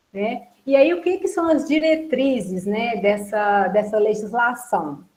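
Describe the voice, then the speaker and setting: Somewhat breathy, a woman speaks fairly slowly with lively intonation amid audible room echo. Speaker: workshop presenter on food legislation. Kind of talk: online workshop lecture.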